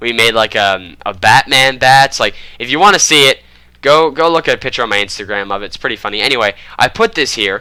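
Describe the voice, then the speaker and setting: Bright and sharp, a man's voice runs at a fairly quick pace, excited and animated, with lively intonation. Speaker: gaming YouTuber. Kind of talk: game walkthrough commentary. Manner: excited, animated.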